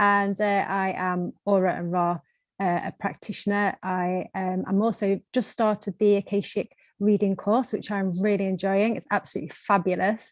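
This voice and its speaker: A woman talks at medium pitch and a moderate pace. Her intonation is flat and monotone. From UK. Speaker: energy healing practitioner. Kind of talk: casual roundtable chat.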